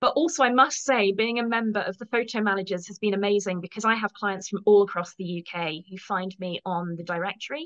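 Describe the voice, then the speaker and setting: A woman with a British accent talks at a fairly quick pace and medium pitch, with hardly any pauses and big swings in loudness. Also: ordinary pitch variation. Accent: English (UK). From England. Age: 50s. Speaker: professional organizer. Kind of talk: interview.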